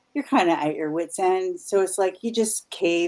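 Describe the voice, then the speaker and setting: This woman has a Canadian accent and a medium pitch. She talks at a moderate pace. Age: 50s. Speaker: paranormal investigator. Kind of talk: interview. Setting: live stream. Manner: halting.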